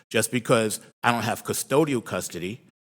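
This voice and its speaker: A man with a plain, everyday voice and a fairly low pitch speaks at a moderate pace. The recording is very clean, with a silent background. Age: 60s. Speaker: public commenter. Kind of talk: public comment testimony. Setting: county board meeting.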